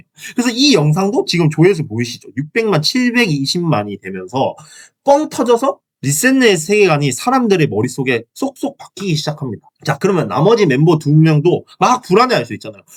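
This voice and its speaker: This man speaks with a high pitch, very wide pitch swings and an animated tone, in a Gyeongsang accent. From Gyeongsang region, South Korea. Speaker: YouTuber. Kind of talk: casual video commentary.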